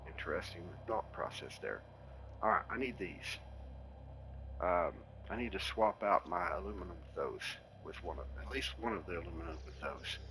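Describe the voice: Speaking with a Texan accent, a man uses a low pitch and lively intonation at a moderate pace. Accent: Texan, Southern US.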